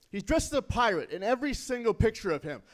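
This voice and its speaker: In a western Canadian accent, a man talks at a very fast pace with an animated tone and very wide pitch swings. The recording is very clean, with a silent background. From Canada, Nanaimo, British Columbia. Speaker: stand-up comedian. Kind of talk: stand-up. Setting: stage with audience.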